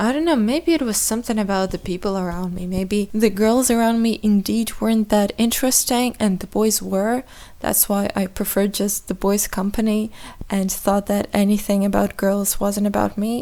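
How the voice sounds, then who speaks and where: The voice has a dark, mellow tone and a non-native accent, moving at a moderate pace with ordinary pitch variation. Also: woman, medium pitch for a woman. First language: not English. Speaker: podcaster. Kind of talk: casual monologue. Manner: halting.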